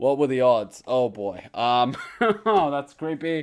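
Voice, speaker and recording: There is a quiet background as a man speaks. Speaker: video creator. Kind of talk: casual vlog chat. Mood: amused, mock spooked. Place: home room. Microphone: studio mic.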